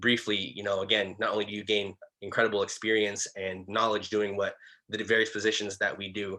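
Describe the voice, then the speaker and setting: A man talks very fast in a fairly low, bright and sharp voice with a flat monotone delivery against a quiet background. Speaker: student club president. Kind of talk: online club meeting presentation.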